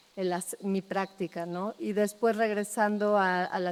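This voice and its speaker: With a Mexico City accent, a woman speaks at a medium pitch in a monotone, flat intonation and a fairly slow pace on a very clean recording with a silent background. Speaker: architect. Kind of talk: public talk.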